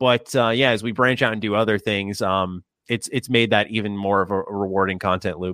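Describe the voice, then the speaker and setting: A man talks at a fairly quick pace with fairly even intonation. His pitch sits fairly low. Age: 20s. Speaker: gaming YouTuber. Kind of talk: casual chat.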